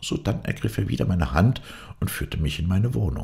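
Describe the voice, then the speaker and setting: In a solemn, dramatic tone, a man speaks with a very deep, low voice full of vocal fry and very wide pitch swings. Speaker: audiobook narrator. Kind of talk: dramatic narration of a fairy tale, reading aloud with character voices.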